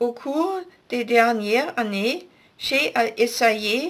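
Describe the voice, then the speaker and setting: A woman's high-pitched voice at a very slow pace. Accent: German. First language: German (speaking French). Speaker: author. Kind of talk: scripted announcement. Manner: formal.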